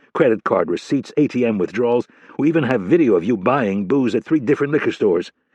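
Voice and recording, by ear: Someone reads a passage aloud, and the voice sounds natural.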